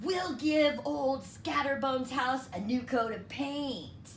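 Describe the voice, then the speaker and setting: A female-sounding voice takes on a put-on character voice at a high pitch. It moves at a fairly slow pace against clear background noise. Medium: read story. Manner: bossy, threatening.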